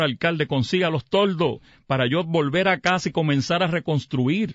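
Speaking at a moderate pace, a man with a Puerto Rican accent uses a fairly high pitch and ordinary pitch variation. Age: 60s. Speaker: mayor. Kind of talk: radio interview. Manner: halting.

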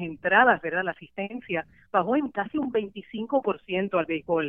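A woman speaks in a normal speaking voice at a medium pitch. Her pace is moderate and her intonation lively. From Puerto Rico. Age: 40s. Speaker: sports journalist. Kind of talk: interview conversation.

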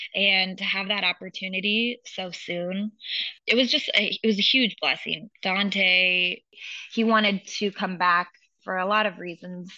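A woman with an American accent and a plain, everyday voice, speaking at a fairly slow pace with fairly even intonation. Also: medium pitch for a woman. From US Pacific Northwest, Seattle. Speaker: coach's wife. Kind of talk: interview.

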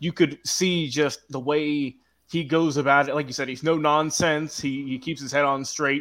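A man with an American accent, fairly high pitch, monotone, flat intonation and a moderate pace. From Georgia, US South. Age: young. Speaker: social media producer. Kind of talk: casual chat.

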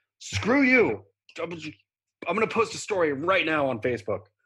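With an American accent, a man speaks at a moderate pace in a high, bright, sharp voice. His pitch swings very widely. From US, Oregon. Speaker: podcast co-host. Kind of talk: casual chat. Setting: video call.

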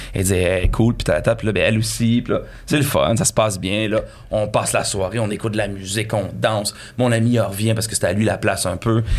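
His words come at a very fast speed, yet the man's intonation stays fairly even. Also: fairly low pitch for a man. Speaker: comedian. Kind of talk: casual chat.

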